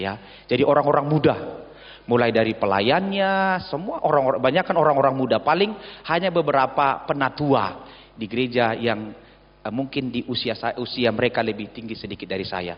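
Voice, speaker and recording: At a fairly quick pace, a man talks at medium pitch with lively intonation. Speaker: visiting pastor. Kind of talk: sermon. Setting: church.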